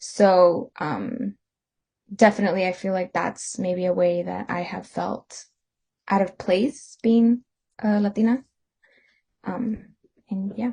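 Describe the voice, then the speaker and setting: Speaking very slowly with long, frequent pauses, a woman has a medium pitch and fairly even intonation. Her dark, mellow tone is somewhat breathy. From US, Mexican-American. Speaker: student podcast co-host. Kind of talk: casual discussion.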